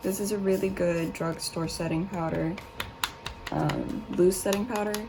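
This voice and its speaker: Quiet speech with fairly even intonation comes through audible room echo and noticeable background noise. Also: woman, medium pitch for a woman, moderate pace. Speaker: beauty vlogger. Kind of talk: makeup tutorial. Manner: speaking quietly; casual.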